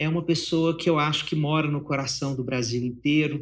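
This man talks at a moderate pace in a fairly high, somewhat breathy voice with fairly even intonation. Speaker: psychologist and writer. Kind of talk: interview conversation.

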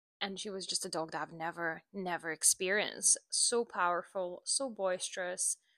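Speaking at a moderate pace with hardly any pauses, a woman of medium pitch has a bright, sharp tone and fairly even intonation in a dry, close recording with no echo. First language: not English. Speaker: dog trainer and podcast host. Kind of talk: casual solo monologue. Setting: home recording with microphone. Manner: halting, many fillers.

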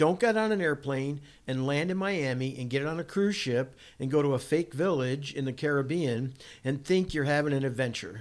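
With an American accent and an ordinary speaking voice, the speaker keeps a moderate pace and ordinary pitch variation on a very clean recording with a silent background. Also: man, fairly high pitch for a man. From Massachusetts. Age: 60s. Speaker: off-road racing driver and builder. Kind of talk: casual interview storytelling. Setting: in a home kitchen.

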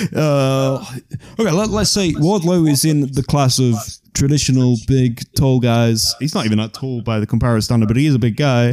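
Using an unremarkable speaking voice, a man keeps a moderate pace and very even loudness while his intonation stays lively. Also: medium pitch for a man. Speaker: podcast co-host. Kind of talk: casual chat.

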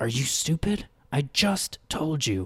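Putting on a character voice, a man speaks fairly high in pitch at a fairly slow pace, the sound dry and close with no echo. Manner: terrified hiss.

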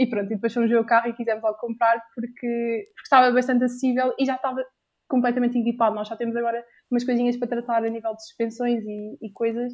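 Talking at a very fast pace, a woman with a European Portuguese accent and a fairly high pitch keeps a monotone, flat intonation yet shows big swings in loudness. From Portugal. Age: 20s. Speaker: university student and volunteer. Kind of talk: casual interview.

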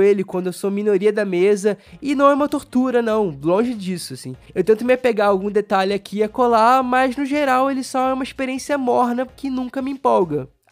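High male voice at a fairly quick pace, with hardly any pauses. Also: lively intonation. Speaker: board game podcast host. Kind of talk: solo review podcast.

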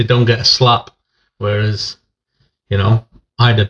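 A man with an East Midlands accent speaks at a fairly slow pace, his fairly low pitch barely moving and his tone fairly bright.

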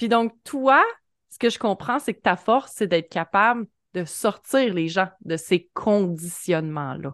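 On a dry, close recording with no echo and a quiet background, a woman of medium pitch speaks very slowly in a Quebec accent, her intonation lively and her loudness swinging widely. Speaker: podcast host. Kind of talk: casual interview chat.

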